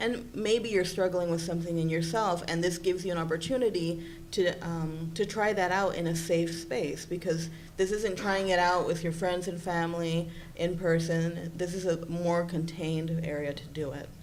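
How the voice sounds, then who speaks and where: A woman speaks with a Spanish accent and fairly even intonation. Audible echo fills the room. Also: fairly low pitch for a woman, moderate pace. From Puerto Rico. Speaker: psychology presenter. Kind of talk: conference presentation.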